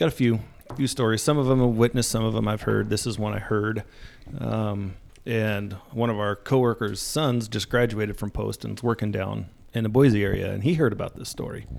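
A man with an ordinary speaking voice, fairly low-pitched, fairly even intonation and a fairly quick pace. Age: 40s. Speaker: corrections officer and tactical team member. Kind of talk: casual chat.

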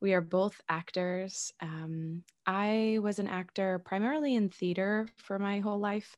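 In a New York accent, a woman at medium pitch talks at a fairly slow pace with hardly any pauses and ordinary pitch variation, on a very clean recording with a silent background. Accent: New York American English. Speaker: actor and podcast host. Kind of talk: casual interview.

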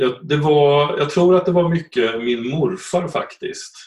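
He speaks at a fairly slow pace, somewhat breathy. This man's pitch is fairly high, with ordinary variation. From Östergötland, Sweden. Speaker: economics professor and genealogist. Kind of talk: interview. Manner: halting.

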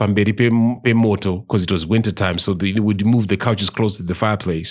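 A man with a Zimbabwean accent, fairly low in pitch, fairly even in intonation, on a very clean recording with a silent background. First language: Shona. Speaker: podcast host. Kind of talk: casual chat.

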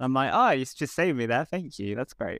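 A man with a southern English accent and lively intonation, on a very clean recording with a silent background. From southern England. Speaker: comedian. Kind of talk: casual chat.

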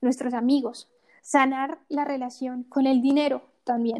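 With monotone, flat intonation, a woman speaks at a high pitch. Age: 20s. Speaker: online course creator. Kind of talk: casual interview.

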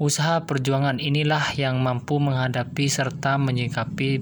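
In a room with audible echo and noticeable background noise, a man with a medium pitch speaks at a moderate pace. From Indonesia, Jember (East Java). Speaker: podcaster. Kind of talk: solo monologue reading definitions. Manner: formal.

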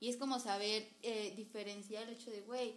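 Over noticeable background noise, a woman with a Mexican accent speaks at a fairly high pitch. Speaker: podcast host. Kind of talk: casual chat.

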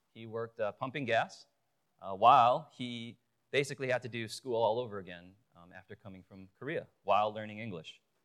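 A man with a Chicago accent at a medium pitch, a fairly quick pace, ordinary pitch variation and big swings in loudness. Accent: Chicago American English. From Chicago, US. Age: 40s. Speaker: lay preacher and youth pastor. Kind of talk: sermon. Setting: church pulpit with audience. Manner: hesitant, many fillers.

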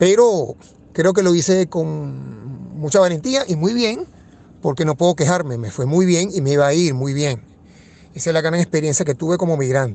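Here is a man with an unremarkable speaking voice at a fairly high pitch. He talks at a moderate pace with lively intonation. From Venezuela, Caracas. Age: 50s. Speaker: economist. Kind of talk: interview.

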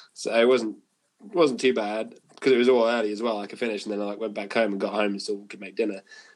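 A man talks very fast at a fairly low pitch with fairly even intonation. His loudness swings widely. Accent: northern English. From northern England. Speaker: guitarist and podcast host. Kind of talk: casual chat.

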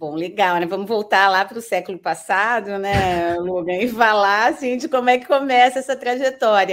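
With a normal speaking voice at a medium pitch, a woman talks at a moderate pace with ordinary pitch variation and hardly any pauses. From northern Paraná, Brazil (Londrina). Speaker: university professor. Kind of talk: interview. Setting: online call.

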